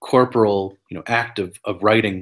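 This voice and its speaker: A man speaks at a fairly slow pace with fairly even intonation and a fairly low pitch. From New Mexico, US. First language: Spanglish. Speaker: professor. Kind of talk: interview. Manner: halting, many fillers and repetitions.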